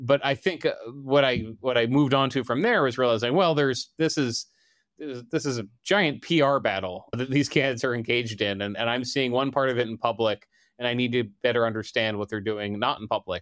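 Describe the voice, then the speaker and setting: On a very clean recording with a silent background, a man with an American accent uses a normal speaking voice at a medium pitch, ordinary pitch variation and a fairly quick pace. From Delaware, US. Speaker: political reporter. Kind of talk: interview.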